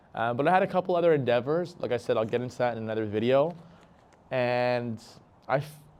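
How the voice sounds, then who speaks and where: A man with a Canadian accent talks very fast at a medium pitch with ordinary pitch variation, yet leaves long, frequent pauses. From Canada, Toronto area. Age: 20s. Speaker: vlogger. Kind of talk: casual vlog monologue. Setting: outdoors at a park. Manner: hesitant with fillers.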